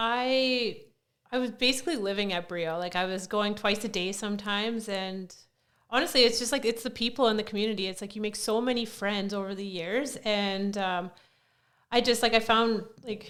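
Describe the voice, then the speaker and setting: A woman speaks at a moderate pace with a Canadian prairies accent. Her fairly high pitch holds a fairly even intonation. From Saskatchewan, Canada (small town). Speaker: CrossFit coach. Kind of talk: casual chat.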